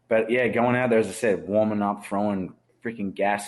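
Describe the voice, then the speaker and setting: With an Australian accent, a man talks in a fairly low pitch. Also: quiet background. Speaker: former pro baseball pitcher. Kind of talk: casual chat.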